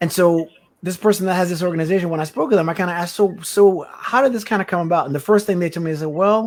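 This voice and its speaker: On a very clean recording with a silent background, a man with an American accent speaks at a very fast pace and high pitch, with ordinary pitch variation. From US Virgin Islands. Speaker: podcast co-host. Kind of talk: casual interview conversation.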